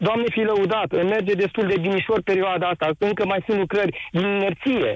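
A man speaks at a moderate pace with a high pitch for a man and hardly any pauses. His intonation is fairly even and his loudness very even. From Romania, Timișoara area. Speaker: caller, small business owner. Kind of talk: live radio call-in.

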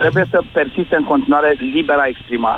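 A man speaks in a fairly high voice with lively intonation. His pace is moderate. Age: 50s. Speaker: radio caller. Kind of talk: phone-in discussion.

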